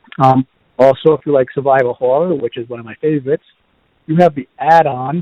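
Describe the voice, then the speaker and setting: Speaking fairly quickly, a man uses a Boston accent. His voice is fairly high, with ordinary pitch variation. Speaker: podcast host. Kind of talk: casual reviews podcast. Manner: halting with fillers.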